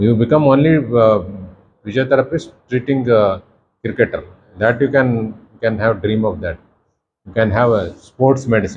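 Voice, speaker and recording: A man at medium pitch, somewhat breathy, moderate in pace with long, frequent pauses. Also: ordinary pitch variation. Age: 60s. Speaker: professor. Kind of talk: lecture. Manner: animated.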